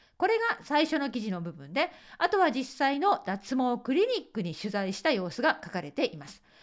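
A woman talks at a moderate pace in a high voice against a quiet background. Her pitch swings very widely. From Japan. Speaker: Japanese teacher. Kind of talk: podcast monologue partly reading from a script. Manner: reading aloud from a script. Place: home room.

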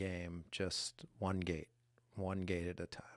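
A man speaks fairly slowly in a very deep, low, monotone voice with flat intonation. The sound is dry with no echo, over a quiet background. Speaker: host's husband, former restaurant owner. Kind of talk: casual chat. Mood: calm, reflective. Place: studio. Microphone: studio mic.

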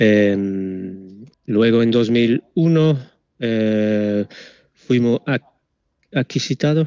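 A man with a non-native accent and a medium-pitched voice, dry sound with no echo, and a quiet background. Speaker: product manager for sensor manufacturer; presenter. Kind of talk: webinar presentation. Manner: halting, many fillers. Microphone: video call.

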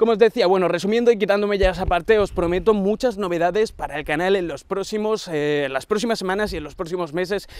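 The speech is very fast, with hardly any pauses and ordinary pitch variation. Loudness swings widely, and the sound is dry with no echo. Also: man, high pitch for a man. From Andalusia, Huelva; Andalusia. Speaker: tech YouTuber; channel host. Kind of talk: casual vlog address to viewers; casual vlog chat. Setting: outdoors on a long avenue. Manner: hesitant, many fillers. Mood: warm, grateful. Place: garden.

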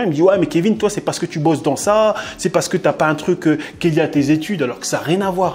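Very fast and high-pitched, a man speaks over light background noise. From France. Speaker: blogger; interview guest. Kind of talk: casual chat. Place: home room.

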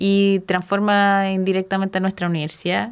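A woman of medium pitch with a Chilean accent. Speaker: radio host and architecture academic. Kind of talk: casual interview chat.

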